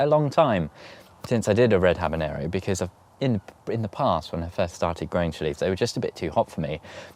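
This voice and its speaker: Speaking with a British accent, a man uses lively intonation at a fairly low pitch. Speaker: allotment gardening vlogger. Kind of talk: casual vlog talk to camera. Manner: halting, stuttering.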